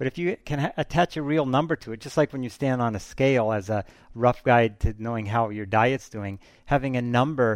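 An unremarkable speaking voice at a moderate pace, with ordinary pitch variation. The sound is dry and close with no echo, over a quiet background. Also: man. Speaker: culture critic. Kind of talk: casual recommendation chat.

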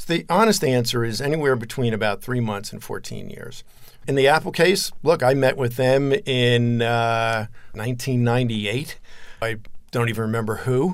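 This man has an unremarkable speaking voice at a medium pitch. He talks at a moderate pace with ordinary pitch variation. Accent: American. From New Jersey. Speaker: tech entrepreneur. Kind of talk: interview.

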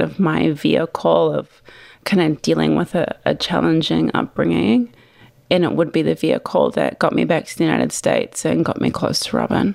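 In a New Zealand accent, a woman talks at a moderate speed. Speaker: wine company founder. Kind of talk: interview.

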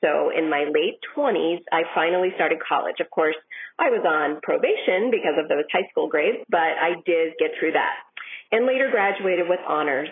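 A woman with an American accent speaks in a plain, everyday voice, pitched fairly low and delivered at a moderate pace. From Minnesota, US. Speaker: listener contributor. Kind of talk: recorded listener story.

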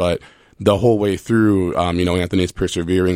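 In a very clean recording with a silent background, a man with an American accent speaks fairly quickly in a very deep, low, monotone voice with flat intonation. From Minnesota. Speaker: children's book author and law student. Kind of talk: radio interview. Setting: studio.

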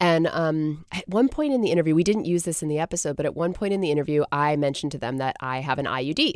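In an American accent, a woman with a very deep, low pitch speaks very fast with hardly any pauses and ordinary pitch variation. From Massachusetts, US. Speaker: environmental journalist and podcaster. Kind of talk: casual interview.

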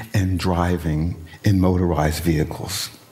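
Noticeable background noise sits under a man speaking at a moderate pace with an American accent. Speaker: environmental activist. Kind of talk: interview.

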